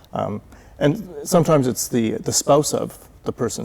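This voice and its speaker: Dark, mellow tone from a man with a Canadian accent, vocal fry, and ordinary pitch variation. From Canada. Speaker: volunteer city tour guide. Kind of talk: TV interview.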